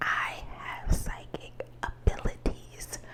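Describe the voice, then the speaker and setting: There is noticeable background noise behind the recording. In it, a woman whispers. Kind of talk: ASMR whispered rambling, telling personal secrets to camera. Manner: soft, confiding, slightly emotional.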